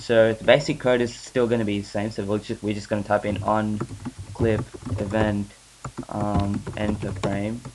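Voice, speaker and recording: A man's flat monotone at a moderate pace, against noticeable background noise. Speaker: software tutorial maker. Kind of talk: screen-recorded software tutorial. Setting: home recording, weak mic. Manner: hesitant, many filler sounds.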